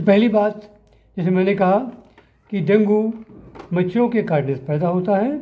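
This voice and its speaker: Speaking with a high pitch, a man leaves long, frequent pauses, and audible room echo surrounds his voice. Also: ordinary pitch variation. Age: 80s+. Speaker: doctor and drug researcher. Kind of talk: health talk to camera. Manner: formal.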